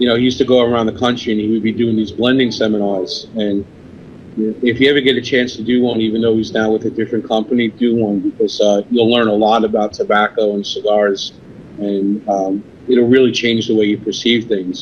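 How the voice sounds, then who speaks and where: Fairly quick, flat, monotone delivery in a New York accent. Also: man, medium pitch for a man. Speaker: cigar company sales representative. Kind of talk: podcast interview.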